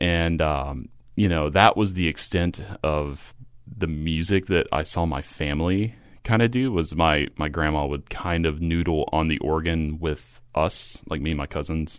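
With an American accent, a man speaks at a fairly slow pace in a very deep, low pitch with ordinary pitch variation. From rural Kentucky, US. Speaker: composer. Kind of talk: casual interview.

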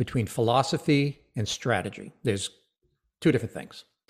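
This voice belongs to a man. There is a somewhat breathy quality to it. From Rhode Island. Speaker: financial advisor and author. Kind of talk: interview.

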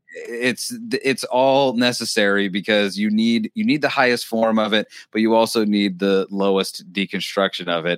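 With an ordinary speaking voice, a man of medium pitch talks with fairly even intonation in a very clean recording with a silent background. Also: moderate pace, very even loudness, dry, close sound with no echo. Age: 30s. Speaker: podcast host. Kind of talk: casual chat.

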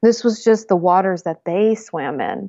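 This woman has an ordinary speaking voice, medium in pitch, with an American accent, lively intonation and a fairly slow pace. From US Northeast. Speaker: herbalist and intuition teacher. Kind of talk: casual chat.

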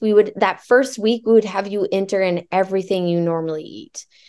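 At a fairly quick pace, a woman with a Midwestern American accent speaks in a dark, mellow tone at medium pitch against a quiet background. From Nebraska (Alliance). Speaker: fitness coach. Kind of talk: casual interview chat.

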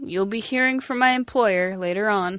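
A female-sounding put-on character voice at a medium pitch, moving at a moderate pace. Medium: actual play. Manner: bold, officious.

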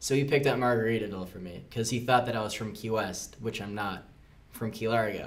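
A man with an American accent talks at a very fast pace and a fairly low pitch. His intonation is fairly even, and the room echo is audible. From Florida Keys, US. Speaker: tattoo apprentice. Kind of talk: casual chat.

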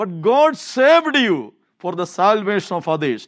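Very wide pitch swings in an Indian accent, at a fairly slow pace. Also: man, very clean recording, silent background.

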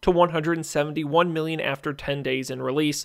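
On a very clean recording with a silent background, a man with a normal speaking voice talks at a fairly quick pace and a fairly high pitch. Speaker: radio host. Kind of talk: radio dj patter. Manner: brisk, upbeat rundown of box office numbers.

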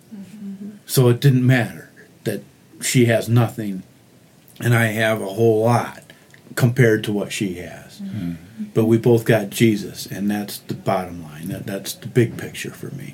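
Somewhat breathy and at a medium pitch, a man with an American accent speaks at a fairly slow pace. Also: ordinary pitch variation. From Michigan, US (Oxford, near Detroit). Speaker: mission volunteer, crew leader. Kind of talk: casual interview. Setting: makeshift podcast booth in a hotel.

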